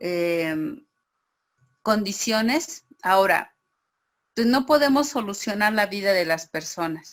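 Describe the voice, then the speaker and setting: Very slow and full of long, frequent pauses, a woman speaks at a medium pitch. Her voice makes very wide pitch swings. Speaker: teacher. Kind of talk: online class.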